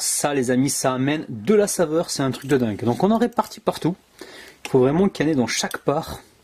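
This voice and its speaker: With noticeable background noise, a man with a southwestern French accent talks at a fairly quick pace in an animated tone, his pitch swinging very widely. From southwest France (Gers). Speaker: cooking video host. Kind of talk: cooking tutorial.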